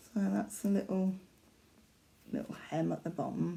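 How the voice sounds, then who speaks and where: A woman with a Yorkshire accent on a very clean recording with a silent background. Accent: faint Yorkshire. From Yorkshire, northern England. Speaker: cross-stitch vlogger. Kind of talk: casual craft vlog. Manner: halting, many fillers.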